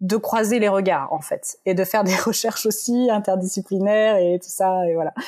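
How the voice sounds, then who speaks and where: A woman speaks in a plain, everyday voice at a medium pitch. Her pace is fairly slow, and the background is quiet. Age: 30s. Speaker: psychology researcher and author. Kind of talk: interview.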